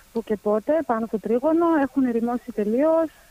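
A woman talks at a moderate pace with a high pitch and ordinary pitch variation. The sound is dry and close, with no echo. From Germany. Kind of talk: interview. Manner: hesitant.

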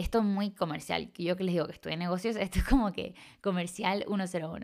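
Medium pitch and ordinary pitch variation in a woman's voice. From Chile. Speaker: podcast host and life coach. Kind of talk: reflective solo podcast talk. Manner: warm and enthusiastic.

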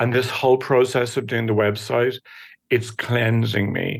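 Spoken with an Irish accent and some vocal fry, this voice moves at a fairly slow pace with fairly even intonation. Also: man. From Ireland. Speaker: recurring guest. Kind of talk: casual chat. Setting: video call.

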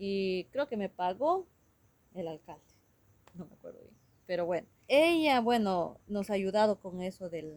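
A woman at a medium pitch speaks with lively intonation, big swings in loudness, and long, frequent pauses. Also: fairly slow pace. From Ecuador, Shuar community near Bucay. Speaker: Shuar community member and interpreter. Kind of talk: interview.

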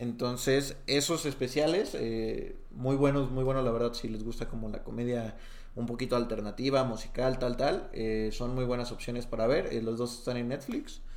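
A man talks with hardly any pauses at a medium pitch. His intonation is fairly even, and audible room echo can be heard. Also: moderate pace. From Mexico, Jalisco (Tepatitlán de Morelos). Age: 20s. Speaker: stand-up comedian. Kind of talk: casual chat.

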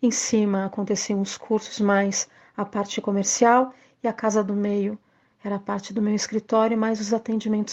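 In a very clean recording with a silent background, a woman speaks at a fairly slow pace. Her fairly high voice has a dark, mellow tone and a flat, monotone delivery. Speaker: actress and arts teacher. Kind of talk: recorded testimony.

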